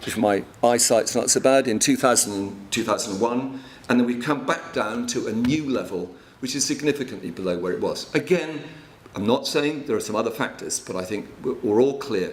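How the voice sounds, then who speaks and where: Audible room echo surrounds a man with a medium pitch. He keeps a moderate pace and ordinary pitch variation. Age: 60s. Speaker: water and land management consultant. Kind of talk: conference presentation.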